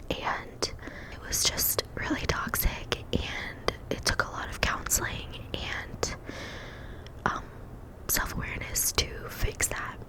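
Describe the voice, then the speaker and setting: Whispering at a very slow pace, with long, frequent pauses, big jumps in loudness and noticeable noise in the background. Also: woman. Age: 20s. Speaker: ASMR creator. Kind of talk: whispered ASMR ramble giving advice. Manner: whispered, soft-spoken, relaxing.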